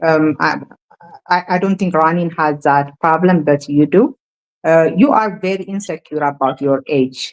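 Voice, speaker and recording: A woman with an Ethiopian accent speaks at a fairly slow pace in a fairly low pitch, with ordinary pitch variation. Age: 40s. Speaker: feminist commentator. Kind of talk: heated debate. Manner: halting, many fillers.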